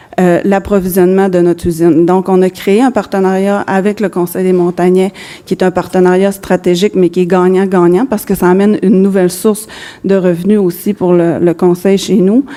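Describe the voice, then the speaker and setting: With noticeable background noise behind her, a woman speaks at a moderate pace in a medium pitch, her loudness very even and her intonation monotone and flat. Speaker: business executive. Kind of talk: conference presentation. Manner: halting.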